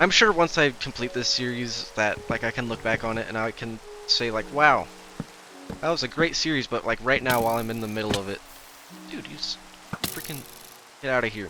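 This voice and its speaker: A man at medium pitch with ordinary pitch variation, a fairly quick pace, long and frequent pauses, and noticeable background noise. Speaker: gaming YouTuber. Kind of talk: gameplay commentary. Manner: hesitant, many fillers.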